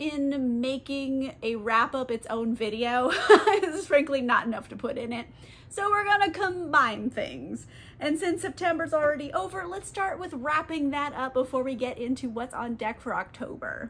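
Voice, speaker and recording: A woman with a high voice speaks with lively intonation. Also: moderate pace. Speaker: book vlogger. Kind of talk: casual vlog chat. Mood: cheerful, playful. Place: home room.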